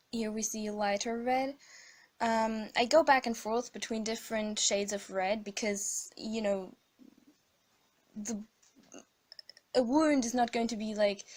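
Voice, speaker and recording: Speaking with a non-native accent, a woman goes at a fairly slow pace with fairly even intonation and long, frequent pauses. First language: not English. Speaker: digital artist. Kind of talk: tutorial voiceover. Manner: hesitant, many fillers.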